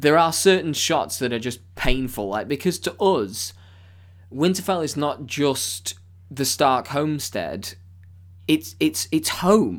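Over a silent background on a very clean recording, a man with a British accent speaks at a very slow pace, his fairly high pitch making very wide swings and showing vocal fry. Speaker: podcast host. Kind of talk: casual chat.

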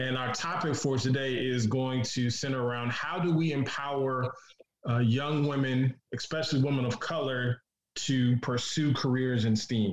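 At a moderate pace, a man speaks in a normal speaking voice at a medium pitch with fairly even intonation. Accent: American. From Detroit, US. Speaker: podcast host. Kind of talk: casual podcast chat.

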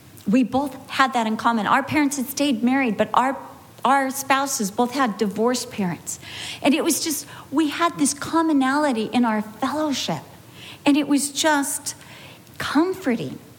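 With an animated tone, a woman talks at a moderate pace in a high pitch with ordinary pitch variation. There is noticeable background noise. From California. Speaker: Bible teacher. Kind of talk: sermon. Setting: women's Bible study with audience.

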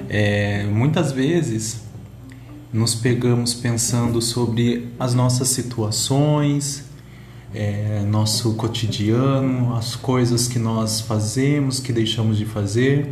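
Room echo is audible as a man of medium pitch speaks at a very slow pace, with fairly even intonation and very even loudness. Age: 30s. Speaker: podcaster. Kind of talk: monologue podcast. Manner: occasional stumbling and hesitations.

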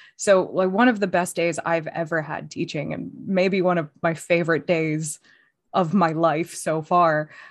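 Over a quiet background, a plain, everyday voice speaks at a fairly slow pace with fairly even intonation. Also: woman. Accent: American. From United States. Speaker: podcast co-host and PhD student. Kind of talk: casual chat.

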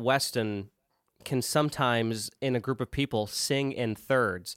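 A man speaks at a fairly slow pace in a normal speaking voice, with medium pitch and fairly even intonation. The sound is dry and close, with no echo. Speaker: podcast host. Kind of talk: casual banter, comedy skit.

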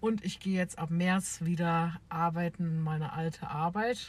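Fairly low in pitch, a woman's voice unfolds at a fairly slow pace. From Bavaria, near Munich. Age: 20s. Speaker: podcast co-host, childcare worker. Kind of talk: casual chat. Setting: in a car.

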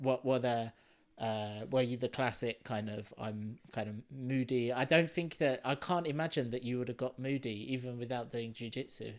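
At a moderate pace, a man with an ordinary speaking voice talks at medium pitch with fairly even intonation. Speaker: podcast host. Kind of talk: casual podcast interview.

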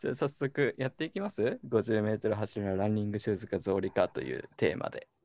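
Speech comes at a fairly quick pace with hardly any pauses, in a dry, close sound with no echo. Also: man. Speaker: radio show co-host. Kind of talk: casual chat. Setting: video call. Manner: animated.

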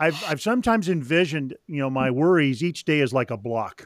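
An ordinary speaking voice from a man, captured on a very clean recording with a silent background and a dry, close sound with no echo. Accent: American. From Northern California. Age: 60s. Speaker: author and spiritual director. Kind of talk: interview.

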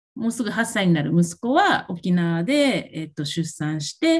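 Her voice somewhat breathy and fairly low, the woman speaks with lively intonation. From Japan, Okinawa. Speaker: self-care coach. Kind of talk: casual chat. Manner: halting, many fillers.

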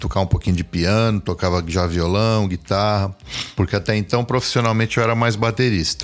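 This man has an unremarkable speaking voice, fairly low in pitch with ordinary pitch variation, moving at a fairly quick pace with very even loudness. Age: 50s. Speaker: multi-instrumentalist and music producer. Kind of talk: casual chat.

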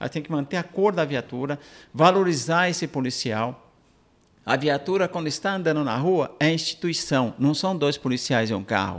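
A man's ordinary speaking voice, fairly high-pitched, at a moderate pace with lively intonation. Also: very clean recording, silent background. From Brazil, São Paulo (moved from Minas Gerais at age 5). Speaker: helicopter pilot and aerial TV reporter. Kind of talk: interview chat.

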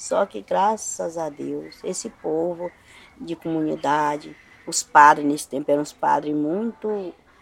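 A woman's very deep, low-pitched voice with ordinary pitch variation. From Brazil, Piauí, raised in Maranhão from age 9. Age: 60s. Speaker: farmworker, interviewee recounting her trial. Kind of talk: interview testimony. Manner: casual, conversational.

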